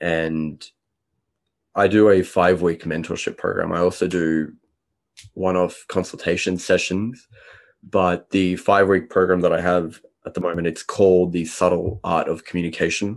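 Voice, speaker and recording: A man with a very deep, low voice, flat monotone intonation and a moderate pace. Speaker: social intelligence coach. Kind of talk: interview conversation. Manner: confident.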